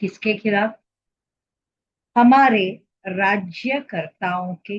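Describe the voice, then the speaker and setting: A woman with a Marathi accent speaks at a medium pitch, with ordinary pitch variation and a somewhat breathy quality. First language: Marathi (speaking Hindi). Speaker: social commentator. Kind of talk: opinion monologue.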